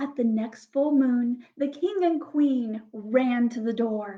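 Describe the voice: A woman's fairly high voice at a slow pace, with ordinary pitch variation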